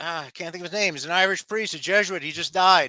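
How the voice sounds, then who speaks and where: A man's raised, projected voice, high-pitched and bright and sharp in tone, with an American accent and fairly even intonation. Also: dry, close sound with no echo, very clean recording, silent background. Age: 60s. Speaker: lawyer and author. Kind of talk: interview. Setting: live stream. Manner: halting.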